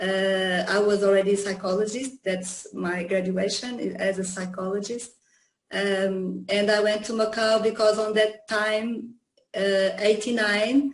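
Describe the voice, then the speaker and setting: A woman with a Portuguese accent talks at a fairly slow pace, her medium-pitched voice monotone and flat. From Portugal, Lisbon. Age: 50s. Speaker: psychologist and yoga teacher. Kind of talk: interview. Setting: video call. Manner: halting, many fillers.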